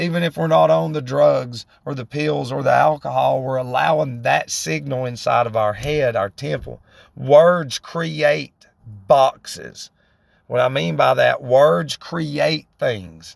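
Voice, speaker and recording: A very slow delivery in a Southern US accent. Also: man. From US South, northwest Georgia. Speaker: vlogger in addiction recovery. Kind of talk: casual monologue. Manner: rambling, halting with repetitions.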